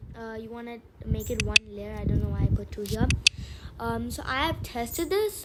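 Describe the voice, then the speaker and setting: Moderate-paced speech by a woman, with noticeable background noise. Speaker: gaming tutorial youtuber. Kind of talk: tutorial. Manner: halting, many fillers.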